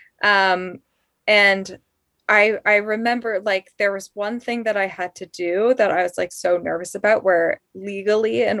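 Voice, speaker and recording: A woman with a General American accent has an ordinary speaking voice, medium pitch and ordinary pitch variation, speaking at a fairly slow pace in a dry, close sound with no echo. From Colorado Springs, Colorado. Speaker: podcast producer. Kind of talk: casual interview chat.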